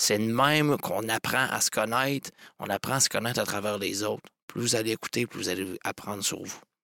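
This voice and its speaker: The sound is dry and close with no echo as a man speaks at medium pitch with a bright, sharp tone, ordinary pitch variation and a fairly quick pace. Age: young. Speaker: entrepreneur, agency co-owner. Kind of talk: casual interview.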